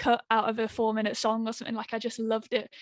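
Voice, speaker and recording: With a West Midlands accent and a fairly high pitch, a woman is heard against a quiet background in a dry, close sound with no echo. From West Midlands, England. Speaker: singer-songwriter. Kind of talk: radio interview.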